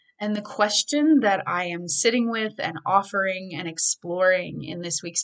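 A woman's unremarkable speaking voice at medium pitch, moderate pace and lively intonation. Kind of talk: guided meditation.

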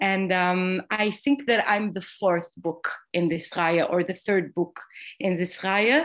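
A woman's medium-pitched voice in an Israeli accent, at a very slow pace, against a quiet background. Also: ordinary pitch variation. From Israel, Jerusalem. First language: Hebrew. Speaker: playwright. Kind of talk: interview. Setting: video call. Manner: halting.

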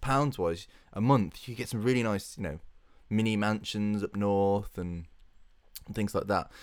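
Recorded very cleanly over a silent background, a man with a British accent talks at a moderate pace, his pitch fairly low with ordinary variation. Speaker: podcast co-host. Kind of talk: casual chat.

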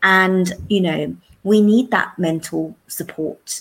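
A woman with a London accent and a fairly low pitch. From South London. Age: 40s. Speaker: secondary school teacher. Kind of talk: interview.

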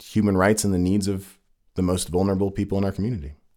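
In a very clean recording with a silent background, a man speaks with a Californian accent. His pitch is very deep and low, and his tone is dark and mellow. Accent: Californian American. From California, Santa Cruz. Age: 30s. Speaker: city council member. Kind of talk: interview answers.

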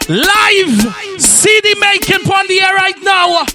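A raised, projected voice with ordinary pitch variation carries over noticeable background noise. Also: man. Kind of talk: radio DJ patter, hyped-up party promo and mixtape hosting with shout-outs and event ads. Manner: playful, teasing and flirtatious when addressing the ladies.

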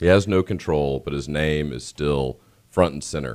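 The man's pitch shifts in an ordinary way as he talks at a moderate pace. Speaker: radio co-host and announcer. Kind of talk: casual chat. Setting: studio.

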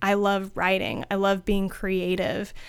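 A woman speaks with a Midwestern American accent. The recording is very clean, with a silent background. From US Midwest, rural Ohio (Findlay). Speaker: marketing agency founder. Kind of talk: podcast interview.

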